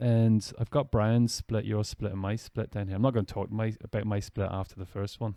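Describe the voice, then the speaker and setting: A man with an Irish accent speaks at a fairly low pitch in a dark, mellow tone, with monotone, flat intonation and a fairly quick pace. The sound is dry and close with no echo, on a very clean recording with a silent background. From Ireland. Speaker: podcast host and ultrarunner. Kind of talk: casual interview.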